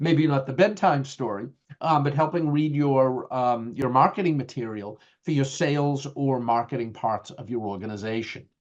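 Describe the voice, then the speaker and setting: A man speaks in a strong Boston accent. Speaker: IT leadership educator. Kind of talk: lecture. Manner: halting, many fillers.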